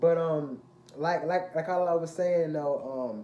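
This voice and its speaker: The voice shows ordinary pitch variation, with noticeable background noise. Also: man. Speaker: fitness vlogger and athlete. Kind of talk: casual vlog monologue. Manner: halting, repetitive; animated.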